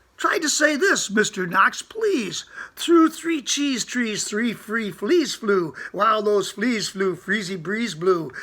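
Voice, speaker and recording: Putting on a character voice, a man speaks high in pitch at a fairly slow pace with hardly any pauses. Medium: read story.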